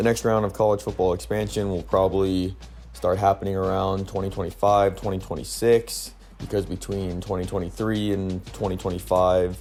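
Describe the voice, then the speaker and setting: A man with an American accent and a very deep, low pitch, at a moderate pace, with music in the background. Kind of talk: sports commentary to camera. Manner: monotone.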